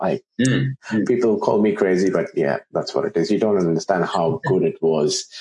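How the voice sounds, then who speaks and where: A man with a medium pitch speaks at a moderate pace, his pitch swinging very widely. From India. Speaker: podcast host. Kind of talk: casual interview chat.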